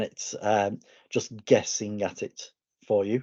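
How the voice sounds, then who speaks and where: A man talks with a slight northern English accent. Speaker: educator. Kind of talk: online presentation.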